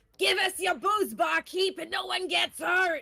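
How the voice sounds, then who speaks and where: A put-on character voice shouts at an extremely high pitch. The pace is moderate. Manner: threatening, demanding.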